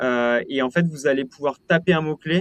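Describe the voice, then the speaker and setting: Ordinary pitch variation in a man's voice, the sound dry and close with no echo. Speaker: company founder presenting a webinar. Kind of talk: webinar Q&A. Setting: online webinar with live chat. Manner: hesitant, many fillers and repetitions.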